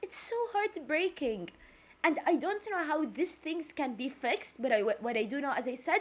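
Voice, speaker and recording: A woman with a Jordanian accent speaks with very wide pitch swings. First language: Arabic. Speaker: music reaction youtuber. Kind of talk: casual reaction video chat. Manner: talkative.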